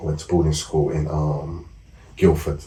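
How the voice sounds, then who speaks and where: Someone talks at a fairly quick pace in a London accent. Room echo is audible. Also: man. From South East London. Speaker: former gang member and author. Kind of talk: interview.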